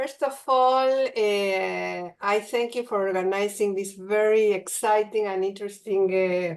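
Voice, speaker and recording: Someone with a Spanish accent speaks fairly slowly, keeping the intonation fairly even. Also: woman. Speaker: teacher. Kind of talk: audience question in webinar. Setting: video call. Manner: halting.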